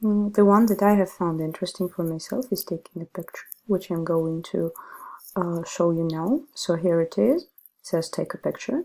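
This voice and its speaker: A woman's dark, mellow, medium-pitched voice with a Russian accent, at a fairly slow pace with ordinary pitch variation, on a very clean recording with a silent background. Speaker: ESL teacher. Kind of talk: tutorial.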